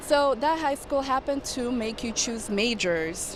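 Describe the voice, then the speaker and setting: A woman speaks with a non-native accent and ordinary pitch variation. Noticeable background noise runs behind her. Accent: foreign accent, noticeable. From Brooklyn, New York (immigrant family). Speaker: air traffic controller. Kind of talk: casual interview chat.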